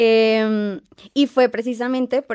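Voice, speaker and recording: Her tone is dark and mellow. The woman's voice is recorded close and dry, with no echo. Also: very clean recording, silent background. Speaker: podcast guest. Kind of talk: casual chat. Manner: halting.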